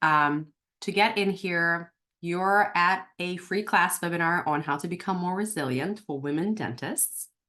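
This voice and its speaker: A woman's fairly low, bright, sharp voice with ordinary pitch variation against a quiet background. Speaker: dental practice coach. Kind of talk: webinar class. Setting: online webinar. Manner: fast; dramatic pauses.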